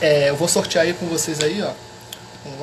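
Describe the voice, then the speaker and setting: A man with a fairly high voice at a moderate pace, with audible room echo and noticeable background noise. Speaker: history teacher. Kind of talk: live stream chat. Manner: soft-spoken.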